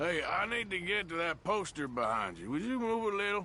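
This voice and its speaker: Doing a put-on character voice, a man sounds gruff and high-pitched, moving at a fairly quick pace with very wide pitch swings as clear background noise runs underneath. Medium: video game. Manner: gruff, terse.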